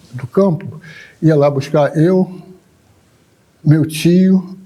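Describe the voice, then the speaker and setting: A man is talking here. The tone of his voice is dark and mellow. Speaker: candomblé drummer and elder. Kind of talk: oral history interview.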